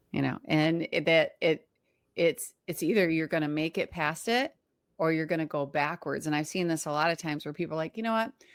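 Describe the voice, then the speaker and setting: Pitched fairly low, a woman with an unremarkable speaking voice talks at a fairly quick pace with ordinary pitch variation on a very clean recording with a silent background. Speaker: podcast host and cleaning business coach. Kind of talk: casual interview chat.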